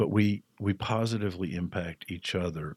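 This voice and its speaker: Vocal fry runs through this man's voice, heard as a dry, close sound with no echo. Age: 60s. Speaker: person in addiction recovery. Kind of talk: personal testimony interview. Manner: hesitant with frequent fillers.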